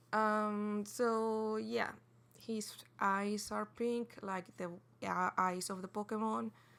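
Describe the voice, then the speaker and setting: A woman's medium-pitched voice with a non-native accent, at a very slow pace and with fairly even intonation. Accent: non-native English, says pronunciation is off. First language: not English. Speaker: digital artist. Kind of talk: speedpaint voiceover commentary. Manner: halting, many fillers and restarts; casual.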